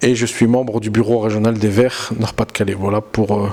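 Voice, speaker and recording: There is noticeable background noise behind a man's voice. He talks at a medium pitch in a monotone, flat intonation. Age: 30s. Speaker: politician. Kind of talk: campaign interview. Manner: halting, with self-corrections.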